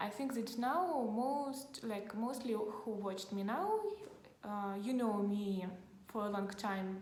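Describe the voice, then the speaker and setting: A woman speaks at a fairly slow pace with a fairly high pitch and ordinary pitch variation. Audible room echo surrounds her voice. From Ukraine, Kharkiv. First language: Russian. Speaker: vlogger. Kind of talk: casual vlog talk to camera. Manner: halting, many fillers.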